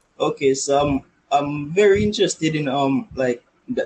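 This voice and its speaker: A man's fairly high, somewhat breathy voice shows ordinary pitch variation. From western Jamaica. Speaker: YouTube animator. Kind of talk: casual interview.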